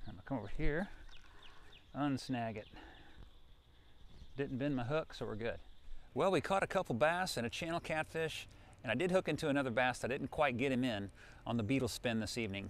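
A man speaks at a medium pitch with ordinary pitch variation. His pace is fairly quick, broken by long, frequent pauses.

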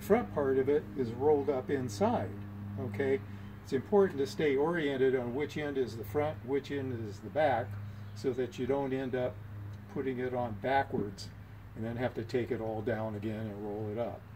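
The voice shows ordinary pitch variation, with noticeable background noise behind it. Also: man. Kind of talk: tutorial. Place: garage. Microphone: camera far.

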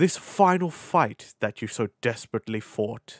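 A man at a fairly slow pace, on a very clean recording with a silent background. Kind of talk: voice acting roleplay audio. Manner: mocking, condescending, possessive.

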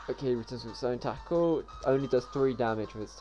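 Someone reads aloud here, using a natural voice.

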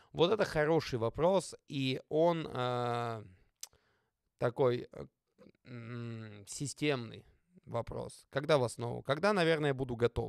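Speaking very slowly with long, frequent pauses, a man at a medium pitch shows big swings in loudness and ordinary pitch variation, the sound dry with no echo and the background quiet. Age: 30s. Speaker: football player and youtuber; youtuber. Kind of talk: casual vlog Q&A. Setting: studio. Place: home room. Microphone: studio mic.

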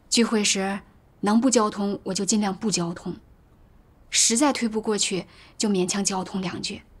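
A woman, somewhat breathy, speaks at a moderate pace with fairly even intonation and long, frequent pauses. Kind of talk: testimony. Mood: troubled, earnest. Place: home room.

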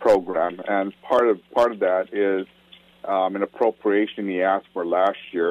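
Noticeable background noise surrounds a man who speaks at a fairly slow pace with ordinary pitch variation. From Maui, Hawaii (Paia, Kahului). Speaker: state senator. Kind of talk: radio interview.

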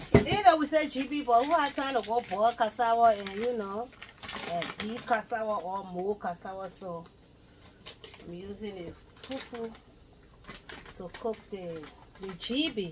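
Amid noticeable background noise, a woman speaks at a fairly slow pace with lively intonation, big swings in loudness, and long, frequent pauses. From Liberia. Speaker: home cook video blogger. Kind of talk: cooking tutorial. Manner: casual. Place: kitchen. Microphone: camera far.

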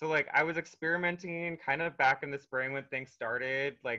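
With an American accent, a man speaks in a bright, sharp tone at a fairly high pitch over a quiet background. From North Dakota, US. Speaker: artist; interviewee. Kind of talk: interview. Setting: video call, at home. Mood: cheerful, animated. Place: home room. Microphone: video call.

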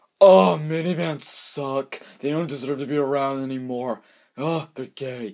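Someone speaks in a put-on character voice, keeping to a moderate pace. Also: man, medium pitch for a man. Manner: whiny, dismissive.

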